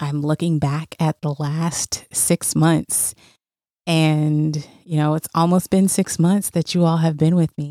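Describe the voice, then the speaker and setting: A woman's very deep, low voice with a dark, mellow tone and monotone, flat intonation at a very slow pace, in a very clean recording with a silent background and a dry, close sound with no echo. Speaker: podcast host. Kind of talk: solo podcast monologue.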